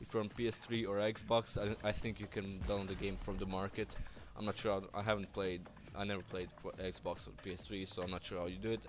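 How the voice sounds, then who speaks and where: This voice has a non-native accent and vocal fry, moving at a fairly quick pace with fairly even intonation. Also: man, fairly low pitch for a man. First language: not English. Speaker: gaming youtuber. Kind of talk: game review commentary. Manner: halting, many restarts.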